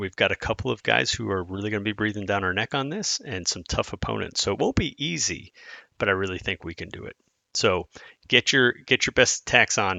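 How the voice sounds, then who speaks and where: A man puts on a raspy character voice, fairly low in pitch, at a fairly quick pace with ordinary pitch variation. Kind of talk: motivational, team talk. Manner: fast, rushed.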